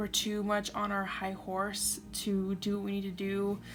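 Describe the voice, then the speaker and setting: A woman at medium pitch, with music in the background. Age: 20s. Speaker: tarot reader. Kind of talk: tarot reading to camera. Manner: casual, conversational.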